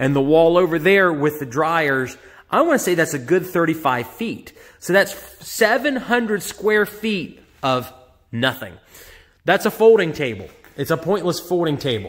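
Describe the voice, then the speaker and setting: The background is quiet. A man speaks at a high pitch and a moderate pace. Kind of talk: casual vlog walkthrough. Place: shop. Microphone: phone near.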